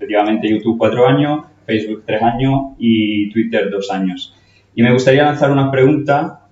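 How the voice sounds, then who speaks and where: A man's medium-pitched, somewhat breathy voice shows ordinary pitch variation. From Italy. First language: Italian (speaking Spanish). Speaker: nursing educator. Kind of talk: conference talk. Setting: stage with audience. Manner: halting, with fillers.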